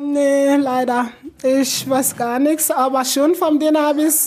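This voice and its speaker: A woman talks in a high voice at a fairly slow pace. Her intonation stays fairly even over noticeable background noise. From Sierra Leone. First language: not German; learned it in last four years (speaking German). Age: 20s. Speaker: refugee and nursing trainee. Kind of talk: interview. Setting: in her living room at home.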